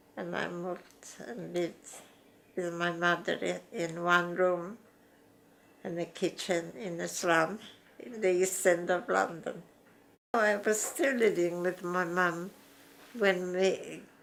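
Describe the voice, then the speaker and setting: Pausing long and often, a woman speaks at a very slow pace with a fairly low pitch and fairly even intonation. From Poland. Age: old. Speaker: retired dressmaker. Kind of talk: interview answer.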